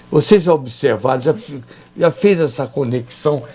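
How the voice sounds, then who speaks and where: A man at a moderate pace and fairly high pitch, with noticeable background noise. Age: 80s+. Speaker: TV and radio host. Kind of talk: casual interview chat.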